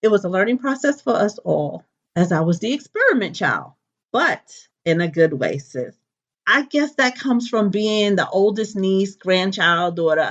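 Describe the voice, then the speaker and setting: Her pitch sits at a medium level for a woman but makes very wide swings. She keeps a moderate pace. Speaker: natural hair enthusiast telling her life story. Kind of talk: personal testimony.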